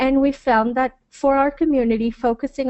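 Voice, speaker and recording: A woman with a Spanish accent talks at a moderate pace in a high voice with fairly even intonation. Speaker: hotel marketing director. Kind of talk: webinar presentation.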